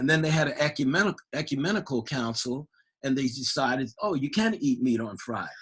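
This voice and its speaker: A man with a plain, everyday voice at a fairly quick pace. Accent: American. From New York City (Harlem). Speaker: church member. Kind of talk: podcast interview, personal life story. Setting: church podcast recording.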